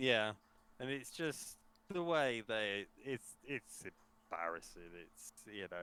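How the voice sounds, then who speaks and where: A man speaks with a British accent in a bright, sharp tone. His pace is very slow. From Britain. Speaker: podcast co-host. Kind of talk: casual chat.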